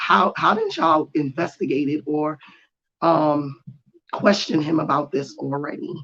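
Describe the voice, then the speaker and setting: This speaker has a New York accent and talks at a moderate pace. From New York, Jamaica Queens. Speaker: political YouTuber. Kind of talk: solo commentary. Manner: casual, hesitant with many ums.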